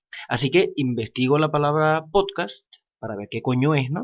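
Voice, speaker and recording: A man talks at a moderate pace. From Venezuela, Falcón. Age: 20s. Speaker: podcaster, lawyer. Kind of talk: casual monologue podcast. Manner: hesitant, many fillers.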